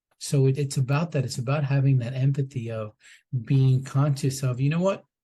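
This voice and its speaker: A man's dark, mellow, somewhat breathy voice at medium pitch, with fairly even intonation and a moderate pace. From US, Colombian immigrant family. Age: 50s. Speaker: former TV producer, microdosing entrepreneur. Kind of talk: podcast interview.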